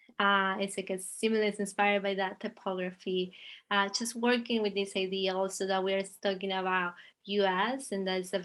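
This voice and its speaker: With an Argentinian accent, a woman talks at medium pitch and a moderate pace. Her intonation stays monotone and flat. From Argentina. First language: Spanish. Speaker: visual artist. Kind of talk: interview conversation. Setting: video call. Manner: halting.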